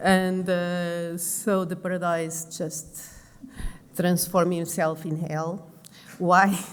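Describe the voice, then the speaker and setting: Speaking at a very slow pace with a Portuguese accent, a woman with a fairly low pitch is heard with audible room echo. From Portugal, Lisbon. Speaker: pulmonologist and intensive care doctor. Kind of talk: conference presentation. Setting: conference stage with audience. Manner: halting, many fillers.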